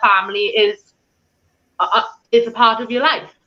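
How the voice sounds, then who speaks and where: A woman with a strong Welsh accent speaks at a fairly high pitch in a bright, sharp tone. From Wales, Swansea. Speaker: paranormal investigator and tour organizer. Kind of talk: interview on live stream.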